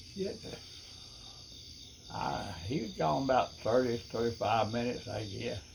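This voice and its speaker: In a Southern US accent, a man speaks at a medium pitch and a fairly slow pace, with lively intonation and long, frequent pauses. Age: 90s. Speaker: retired fisherman recalling stories. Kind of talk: casual storytelling. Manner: halting.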